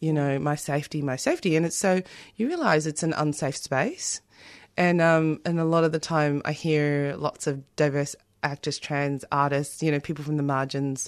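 In an Australian accent, a woman with a very deep, low pitch speaks at a moderate pace in a monotone, flat intonation over a quiet background. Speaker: playwright and theatre director. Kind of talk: radio interview.

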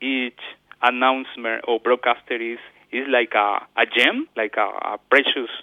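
Speaking with a Spanish accent, a man uses a medium pitch and monotone, flat intonation at a fairly slow pace. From Ecuador. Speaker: community radio coordinator. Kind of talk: interview. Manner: halting.

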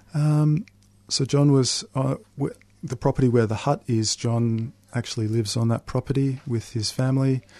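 A man with an Australian accent and a dark, mellow tone speaks at a moderate pace and medium pitch with ordinary pitch variation, in a dry, close sound with no echo against a quiet background. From Melbourne northern suburbs, Australia. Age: 30s. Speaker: author. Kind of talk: interview.

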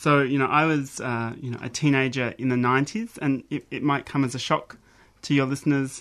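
This man has an Australian accent and a fairly high pitch. His intonation stays fairly even. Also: fairly quick pace, quiet background. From South Australia, Mount Gambier. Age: 40s. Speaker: academic researcher. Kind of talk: radio interview.

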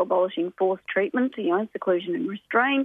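Here a woman talks with an Australian accent. Her voice is medium in pitch, with lively intonation. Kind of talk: radio interview.

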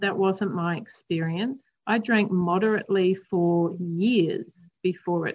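Somewhat breathy voice in an Australian accent, very slow pace, ordinary pitch variation. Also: woman. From Australia, Queensland. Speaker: recovering alcoholic. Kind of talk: interview, personal recovery story.

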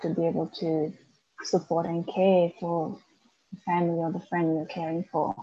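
In a Macedonian accent, a woman speaks at a moderate pace. Her voice is fairly low, with a dark, mellow tone. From North Macedonia. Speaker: author and young carer advocate. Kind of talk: interview. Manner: halting, many fillers.

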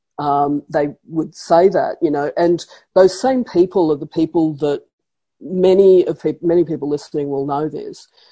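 In an Australian accent, a woman speaks with a fairly low pitch and a dark, mellow tone over a quiet background. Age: 50s. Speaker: professor. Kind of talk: interview.

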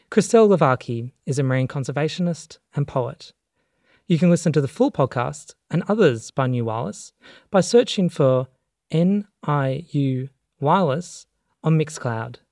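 A man with an unremarkable speaking voice, fairly high in pitch, talks at a moderate pace with lively intonation in a dry, close sound with no echo. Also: very clean recording, silent background. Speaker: radio host. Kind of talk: radio show presentation.

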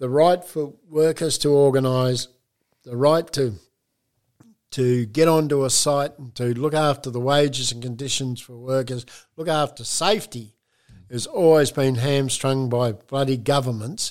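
On a very clean recording with a silent background, a man with an Australian accent talks at a moderate pace, medium in pitch, with fairly even intonation and big swings in loudness. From Geraldton, Western Australia. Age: 70s. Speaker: retired union official and building worker.

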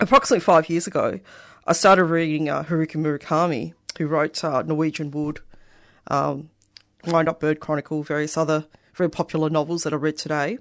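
Against a quiet background, a woman with an Australian accent speaks very fast at a very deep, low pitch with fairly even intonation. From Australia (Melbourne), migrant family. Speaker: poet. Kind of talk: poetry reading. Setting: radio studio.

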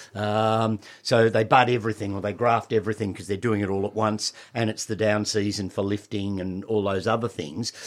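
A man with an Australian accent talks at a fairly quick pace in a fairly low pitch. His intonation is monotone and flat, and the recording is very clean with a silent background. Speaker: horticulturalist and nursery owner. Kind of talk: radio gardening talk show. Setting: studio.

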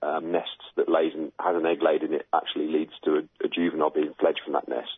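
A man is speaking. He has a British accent. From UK. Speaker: bird researcher. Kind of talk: interview. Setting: phone call.

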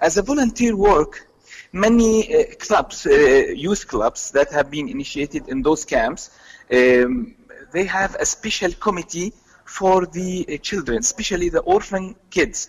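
A man with an Arabic accent, high-pitched for a man, with very wide pitch swings at a fairly slow pace. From Palestinian, based in Jordan. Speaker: youth activist. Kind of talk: radio interview.

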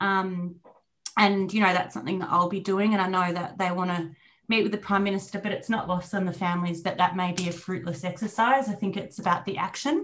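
A woman of medium pitch with an Australian accent, fairly quick in pace and fairly even in intonation. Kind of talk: panel discussion on radio.

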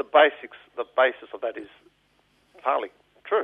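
This man has an Australian accent. His pace is fairly quick. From Melbourne, Australia (eastern suburbs). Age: 50s. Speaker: political activist. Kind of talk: radio interview. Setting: radio studio.

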